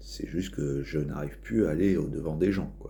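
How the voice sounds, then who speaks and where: Heard with audible room echo, the voice is dark and mellow with vocal fry, moving at a fairly slow pace with lively intonation. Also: man. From northern France, Nord-Pas-de-Calais. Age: 30s. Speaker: vlogger. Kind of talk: casual vlog monologue. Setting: outdoors. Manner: halting, many fillers and repetitions.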